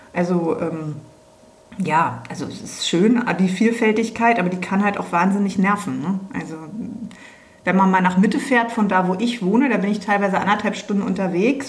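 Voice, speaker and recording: A woman speaks at a moderate pace in a medium pitch. Audible room echo and noticeable background noise are present. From Berlin (West Berlin). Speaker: business owner. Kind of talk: casual chat.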